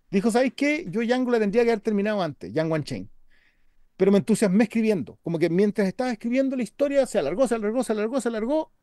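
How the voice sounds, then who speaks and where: In a Chilean accent, a man with an extremely high pitch talks very fast with lively intonation, in a dry sound with no echo and a quiet background. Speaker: podcast co-host. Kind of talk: casual chat. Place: home room. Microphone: webcam.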